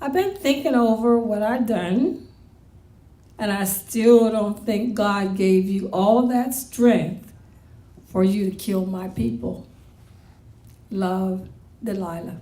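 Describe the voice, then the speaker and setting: At a very slow pace with long, frequent pauses, a woman speaks at a medium pitch in a dark, mellow, somewhat breathy tone with ordinary pitch variation, amid audible room echo. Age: 60s. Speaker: poet. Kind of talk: poetry reading.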